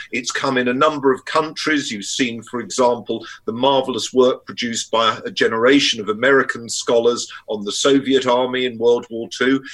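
A man with an English accent speaks at a moderate pace with fairly even intonation and hardly any pauses. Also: medium pitch for a man. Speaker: historian and academic. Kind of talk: casual chat.

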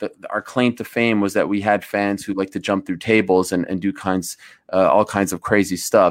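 This is an ordinary speaking voice from a man, with fairly even intonation. The recording is very clean over a silent background. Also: dry, close sound with no echo. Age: 30s. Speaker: sports broadcaster. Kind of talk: casual chat.

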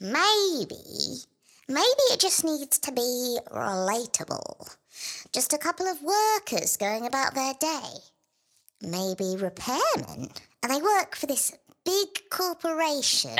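A female-sounding put-on character voice rises to a high pitch. It moves at a fairly slow pace. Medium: audio drama.

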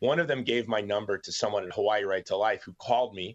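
A man with an American accent talks at a very fast pace. His pitch is fairly low. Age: 50s. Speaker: founder of a humanitarian advocacy group. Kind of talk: casual interview, personal life story.

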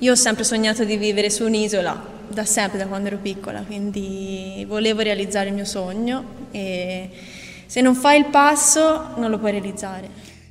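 Amid noticeable background noise and audible room echo, a woman speaks at a moderate pace, medium in pitch, with ordinary pitch variation. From Tuscany, Italy. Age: young. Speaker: botanist. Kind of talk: interview. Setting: outdoors.

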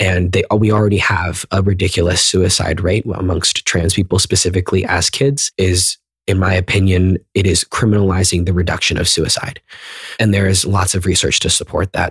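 A man speaks in a General American accent with a very deep, low pitch and a somewhat breathy voice. His intonation is monotone and flat, and his loudness stays very even. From US, northern Virginia (McLean, near DC). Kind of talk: interview. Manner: fast.

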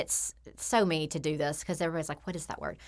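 This woman has a fairly low pitch and a plain, everyday voice. Her intonation is fairly even. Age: 40s. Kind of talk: casual interview chat.

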